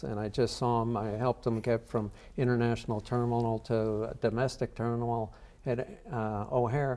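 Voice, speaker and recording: Speaking at a medium pitch with monotone, flat intonation, a man is heard over noticeable background noise. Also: moderate pace. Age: 60s. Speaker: charity cyclist. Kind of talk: interview answer.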